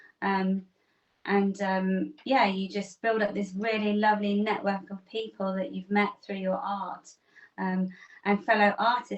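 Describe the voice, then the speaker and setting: Monotone and flat, a woman's voice holds a medium pitch. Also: fairly slow pace. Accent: English. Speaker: artist. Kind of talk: interview answer. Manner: open, chatty.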